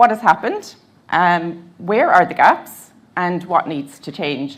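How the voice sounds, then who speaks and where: In a Cork accent, a woman speaks at a fairly slow pace with lively intonation and a fairly low pitch. The recording is very clean, with a silent background. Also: big swings in loudness. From Ireland, Cork. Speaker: advocacy service manager. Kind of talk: conference talk.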